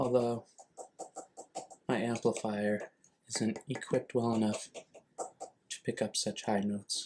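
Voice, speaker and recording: A soft-spoken man talks at a fairly slow pace, leaving long, frequent pauses. His medium-pitched voice stays monotone, with flat intonation. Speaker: ASMR creator. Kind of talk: ASMR object walkthrough. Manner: softly spoken.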